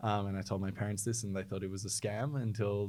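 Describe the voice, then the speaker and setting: In a very clean recording with a silent background, a man with an Australian accent speaks at fairly low pitch and with fairly even intonation. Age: 20s. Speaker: startup founder. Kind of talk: interview.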